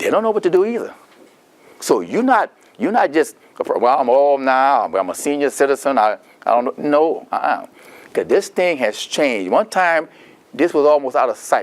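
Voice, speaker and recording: A man with a Louisiana accent at a moderate pace. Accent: Louisiana Southern US. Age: 70s. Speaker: Medicare counselor presenting a seminar. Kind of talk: seminar talk. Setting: seminar room with audience. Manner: animated.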